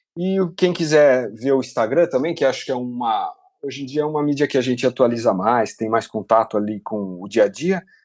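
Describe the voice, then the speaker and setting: A man at a medium pitch with an unremarkable speaking voice, lively intonation, a fairly quick pace and hardly any pauses. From Brazil, Piracicaba (São Paulo state). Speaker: illustrator, game artist. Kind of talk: casual interview. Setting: remote call from home.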